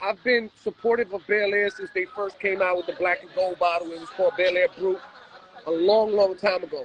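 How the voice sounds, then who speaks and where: At a fairly quick pace, a man speaks in a high voice with fairly even intonation and big swings in loudness. Noticeable background noise runs underneath. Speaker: DJ. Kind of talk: casual chat.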